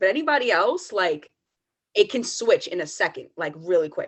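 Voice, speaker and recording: The pace here is moderate. It is a woman talking, with an American accent. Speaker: podcast co-host. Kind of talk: casual chat. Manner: calm.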